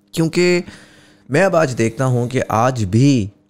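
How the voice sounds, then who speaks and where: A man's very slow speech with lively intonation. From Pakistan. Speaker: podcast host. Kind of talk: casual interview conversation. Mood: thoughtful, reflective. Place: studio. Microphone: studio mic.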